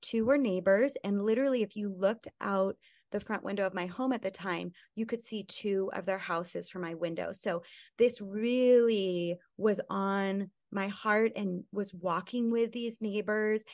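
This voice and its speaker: A woman talks in a normal speaking voice at a fairly slow pace, with medium pitch and fairly even intonation. The background is quiet. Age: 40s. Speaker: podcast host and conference speaker. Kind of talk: interview. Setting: video call.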